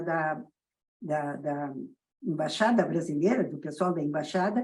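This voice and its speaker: A woman speaks with a southern Brazilian accent. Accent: gaúcho Brazilian Portuguese. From southern Brazil, Rio Grande do Sul. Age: 80s+. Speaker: pediatrician. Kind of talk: interview.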